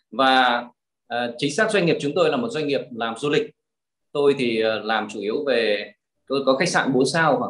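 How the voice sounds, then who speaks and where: A man's fairly high, normal speaking voice with lively intonation at a fairly slow pace. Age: 50s. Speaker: real estate investor and trainer. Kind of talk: interview.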